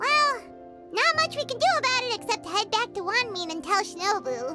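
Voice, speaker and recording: A put-on, squeaky character voice from a woman, extremely high in pitch, at a moderate pace over loud music in the background. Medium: video game. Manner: upbeat, brisk.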